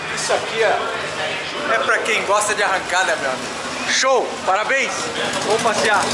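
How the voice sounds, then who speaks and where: Over loud background noise, a man keeps up a moderate pace. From Brazil. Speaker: motorsport vlogger. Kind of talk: casual walk-around vlog. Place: garage. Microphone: phone near.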